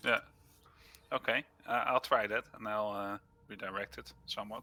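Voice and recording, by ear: A man speaks at a fairly low pitch with a bright, sharp tone. His intonation is fairly even and his pace is moderate.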